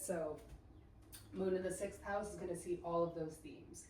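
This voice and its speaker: A woman speaks with a fairly low pitch. Noticeable background noise and audible room echo fill the recording. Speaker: astrology podcaster. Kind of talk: casual monologue. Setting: standing while recording. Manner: casual, filler-heavy.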